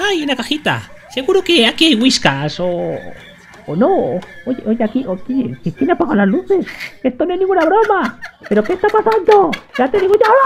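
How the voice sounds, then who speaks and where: The speaker uses a put-on character voice pitched high. The pitch swings very widely. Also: moderate pace. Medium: voice reel. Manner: grumbling, impatient.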